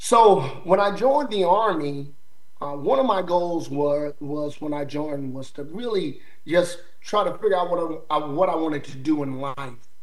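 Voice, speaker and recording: Pitched fairly high, a man talks at a moderate pace with ordinary pitch variation. There is noticeable background noise. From US South, eastern North Carolina. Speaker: army sergeant major. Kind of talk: interview. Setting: remote call.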